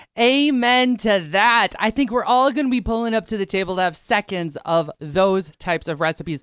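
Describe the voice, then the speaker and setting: A woman with a normal speaking voice at medium pitch, lively intonation and a moderate pace, dry and close with no echo, in a very clean recording with a silent background. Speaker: radio show host. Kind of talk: interview question.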